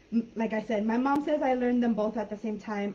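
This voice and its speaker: Somewhat breathy, a woman speaks at a fairly high pitch. Her pace is moderate. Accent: American. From San Diego-Tijuana border, US/Mexico. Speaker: online English teacher. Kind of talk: live online class chat. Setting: live video call.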